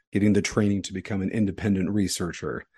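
A man's fairly low voice with a dark, mellow tone, set against a quiet background. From East Texas, raised in Utah from age five. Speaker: podcast co-host, physician scientist. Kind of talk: casual conversation.

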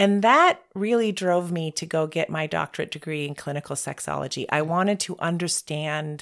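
The recording is very clean with a silent background as the woman talks at a fairly low pitch with ordinary pitch variation. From US. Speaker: sex therapist. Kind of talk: interview.

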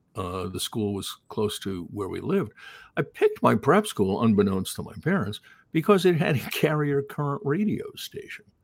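A man with an American accent and a fairly high pitch speaks at a moderate pace with vocal fry, very wide pitch swings and big swings in loudness. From Long Island, New York. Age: 60s. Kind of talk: casual interview chat.

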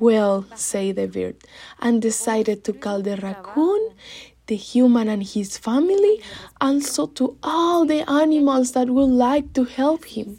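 In a Spanish accent, a woman's high-pitched voice with a dark, mellow tone, lively intonation and a fairly slow pace. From Mexico City. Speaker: storyteller. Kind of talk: storytelling.

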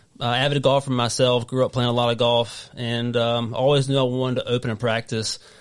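This man has a Southern US accent and a medium pitch. He talks at a fairly quick pace. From North Carolina. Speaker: golf physical therapist. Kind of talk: casual interview chat. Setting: studio.

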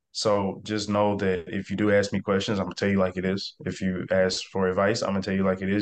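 Speaking very fast with hardly any pauses, a man with a Mississippi accent keeps a fairly low pitch and a monotone, flat intonation. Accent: Southern US (Mississippi). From US South, South Mississippi (Biloxi/Gulfport area). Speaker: real estate investor. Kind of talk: interview. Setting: video call.

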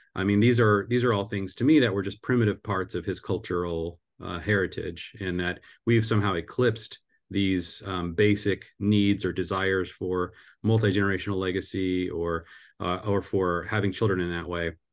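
Man with a normal speaking voice, fairly low pitch and fairly even intonation, moderate pace, quiet background. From US Pacific Northwest (Seattle area). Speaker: family ministry co-founder and author. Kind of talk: interview.

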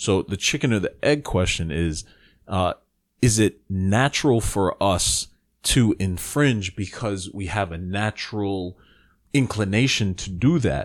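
An unremarkable speaking voice from a man with an American accent, fairly low in pitch, fairly slow, with lively intonation, on a very clean recording with a silent background. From US Northeast, the Bronx, New York. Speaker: podcast co-host. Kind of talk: casual chat.

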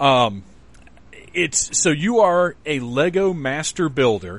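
A man talking at a slow pace with big pitch swings. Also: fairly high pitch for a man.

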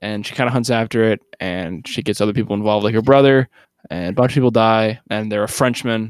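A plain, everyday voice with ordinary pitch variation comes through in a very clean recording with a silent background. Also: man, dry, close sound with no echo. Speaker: podcast host. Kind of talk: casual comedic podcast banter. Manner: joking, playful.

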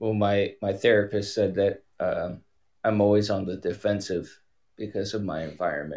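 In a plain, everyday voice, a man speaks at a moderate pace with a fairly low pitch and fairly even intonation. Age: 30s. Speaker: caller, wildland firefighter. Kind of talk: personal call-in conversation.

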